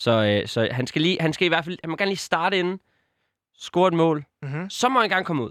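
Moving at a fairly quick pace, a man speaks in a high pitch with lively intonation. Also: dry, close sound with no echo, very clean recording, silent background. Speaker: football podcast co-host. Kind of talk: casual chat. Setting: studio. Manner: halting, many filler sounds.

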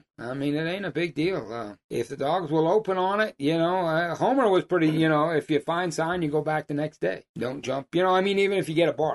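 A man with an American accent talks at a fairly quick pace with hardly any pauses, in an ordinary speaking voice. His pitch is fairly high with ordinary pitch variation, and the sound is dry and close with no echo. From Massachusetts, US. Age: 60s. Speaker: hound hunter and outfitter. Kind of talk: casual chat.

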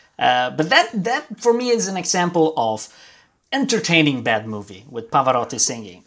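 A man speaks with an Italian accent at a moderate pace, his pitch fairly high and swinging very widely. The recording is very clean, with a silent background. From Milan, Italy. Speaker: guest co-host, film music enthusiast. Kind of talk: casual chat. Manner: halting.

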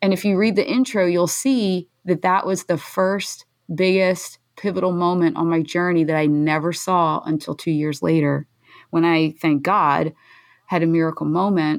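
A woman with an American accent and an ordinary speaking voice talks at a moderate pace in a fairly low pitch, with ordinary pitch variation and very even loudness, on a very clean recording with a silent background. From US, Philadelphia. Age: 40s. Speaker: nonprofit founder and mom of blind sons. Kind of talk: interview, personal story.

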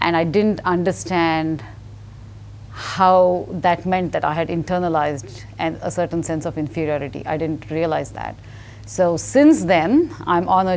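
A woman speaks at a fairly low pitch. Noticeable noise sits in the background. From India. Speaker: newspaper columnist and author. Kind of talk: interview conversation.

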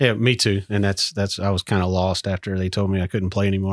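Talking very fast with an extremely flat, monotone delivery, a man with a fairly low pitch speaks in a Southern US accent on a very clean recording with a silent background. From southern Mississippi. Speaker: army veteran and business owner. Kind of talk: casual interview. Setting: workshop.

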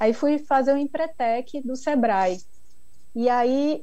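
Ordinary variation shows in the pitch. The tone comes across dark and mellow. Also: woman. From Brazil, Bahia (Ilhéus). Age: 40s. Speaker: chocolate maker. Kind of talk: interview.

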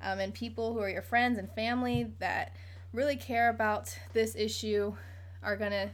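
A woman speaks at a moderate pace with an American accent. Audible room echo surrounds her voice. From Virginia Beach, Virginia. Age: 20s. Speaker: podcast host. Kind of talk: casual chat.

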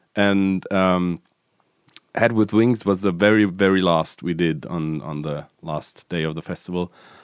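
The delivery moves at a fairly slow pace. Pitch variation is ordinary. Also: man, very deep, low pitch for a man. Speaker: podcast host. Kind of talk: casual chat.

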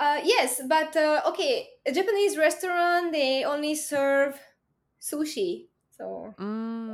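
Over a very clean recording with a silent background, a woman with a Hungarian accent speaks at a very slow pace, high in pitch and with lively intonation. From Hungary. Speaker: university student. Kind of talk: casual chat.

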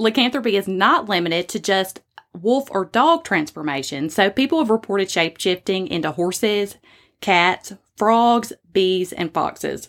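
With a Southern US accent, a woman speaks at a moderate pace and medium pitch with lively intonation, on a very clean recording with a silent background. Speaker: podcast host. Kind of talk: casual storytelling podcast.

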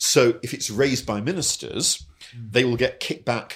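The voice is somewhat breathy, with ordinary pitch variation. The recording is very clean with a silent background. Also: man. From England. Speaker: newspaper editor and former MP. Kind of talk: casual chat.

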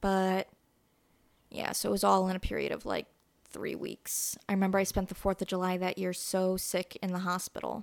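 In a very clean recording with a silent background and a dry, close sound free of echo, a woman with an American accent talks at a moderate pace, her medium-pitched voice monotone and flat. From US Midwest, Northwest Indiana. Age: 20s. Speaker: podcaster. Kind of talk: casual interview, personal life story.

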